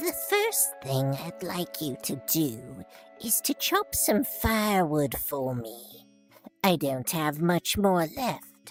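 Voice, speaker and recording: Over faint music in the background, a put-on character voice at low-to-middle pitch moves at a very slow pace. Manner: mischievous, scheming.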